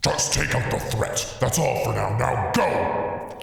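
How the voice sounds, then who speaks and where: A man growls and booms in a put-on character voice at a fairly slow pace, with strong echo and faint music in the background. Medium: audio drama. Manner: menacing, mocking.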